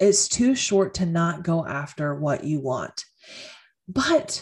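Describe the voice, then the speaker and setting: At a fairly slow pace, a woman speaks in a somewhat breathy voice with lively intonation. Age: 30s. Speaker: podcast host and career coach. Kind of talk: solo podcast monologue.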